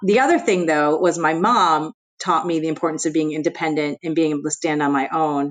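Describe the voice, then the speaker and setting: A woman with a New Jersey accent talks at a fairly quick pace. Her pitch is very deep and low, with ordinary variation. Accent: American, New Jersey. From US Northeast, New Jersey. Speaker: investment executive. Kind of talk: interview.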